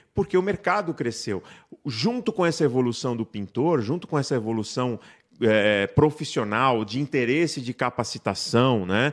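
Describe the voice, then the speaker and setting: Very wide pitch swings mark a man's fairly slow speech on a very clean recording with a silent background. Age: 50s. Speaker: paint industry technician. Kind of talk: interview on live podcast.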